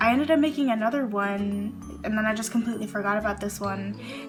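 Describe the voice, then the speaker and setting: Over music in the background, a woman's shaky voice moves at a fairly quick pace, with a medium pitch and ordinary pitch variation. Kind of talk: casual talk to camera. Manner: slightly shaky, breathless.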